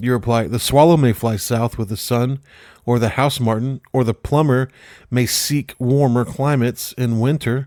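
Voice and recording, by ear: Natural-voiced reading aloud.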